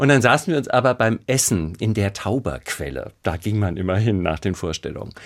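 Speaking with hardly any pauses, a man with a fairly low pitch and vocal fry uses lively intonation on a very clean recording with a silent background. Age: 50s. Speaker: actor and chanson singer. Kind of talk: interview.

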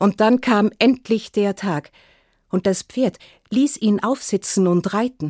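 A woman's calm, very slow voice at medium pitch, ordinary in pitch variation, dry and close with no echo. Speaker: storyteller. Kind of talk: fairy tale telling. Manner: calm, measured storytelling pace; repetitive, sing-song refrain with pauses.

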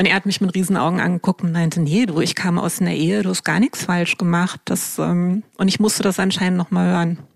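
A woman with a fairly low pitch speaks at a fairly quick pace and fairly even intonation. The sound is dry and close with no echo, though background noise is noticeable. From Germany, Wiesbaden. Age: 50s. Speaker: startup co-founder. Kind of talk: interview.

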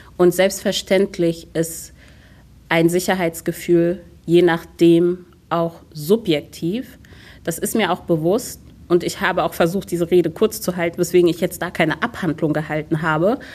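A woman uses a normal speaking voice at a fairly low pitch. She talks at a fairly slow pace with fairly even intonation. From Germany, Hunsrück (Rhineland-Palatinate). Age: 30s. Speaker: city politician and theatre diversity officer. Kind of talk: radio interview. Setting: city hall interview.

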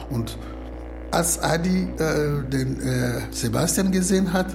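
A man is speaking here. Audible room echo and noticeable background noise surround his voice. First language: not German (speaking German). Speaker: asylum seeker. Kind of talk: retelling a film story.

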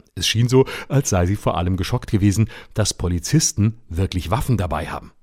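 Somewhat breathy male speech, fairly low in pitch and fairly quick in tempo. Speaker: satirist radio commentator. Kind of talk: satirical rant. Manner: scolding, bluntly pointed.

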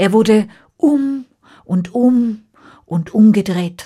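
A woman speaks at a very slow pace at medium pitch. Her tone is dark and mellow. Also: ordinary pitch variation.

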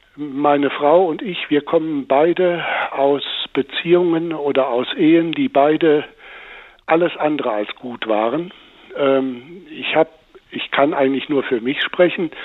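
Over noticeable background noise, a man speaks at a fairly high pitch with ordinary pitch variation and long, frequent pauses. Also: fairly slow pace. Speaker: blind caller. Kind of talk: phone-in call. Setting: phone call.

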